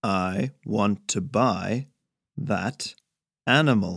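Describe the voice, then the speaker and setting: A man puts on a character voice. He speaks very slowly at a medium pitch. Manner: slow, overemphasizing every word.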